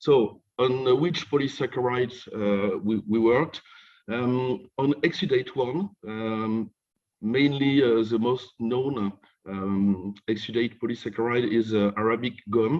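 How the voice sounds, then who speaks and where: A man speaks at a fairly slow pace with a French accent. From France (Normandy). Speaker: professor. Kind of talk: lecture. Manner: halting.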